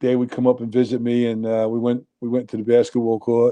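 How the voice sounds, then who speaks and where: A man with an American accent speaks at medium pitch and a moderate pace. His tone is dark and mellow, his intonation flat and monotone. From New Jersey, Union City. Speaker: nightclub owner. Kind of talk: casual chat.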